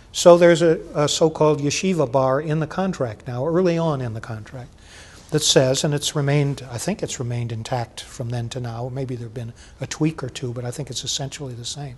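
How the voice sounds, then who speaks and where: At a fairly quick pace, a man speaks with ordinary pitch variation. His pitch is fairly high. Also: big swings in loudness. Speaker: faculty union leader. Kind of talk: oral history interview. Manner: loud.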